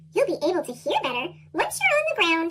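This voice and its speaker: In a put-on character voice, a woman sounds squeaky and extremely high-pitched, talking at a fairly quick pace. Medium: read story. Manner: chirpy, know-it-all.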